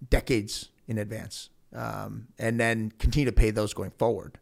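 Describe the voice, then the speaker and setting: A man's ordinary speaking voice in an American accent, fairly low in pitch with ordinary pitch variation, at a moderate pace, in a very clean recording with a silent background. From Ohio, Elyria. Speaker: investment company founder. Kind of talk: interview.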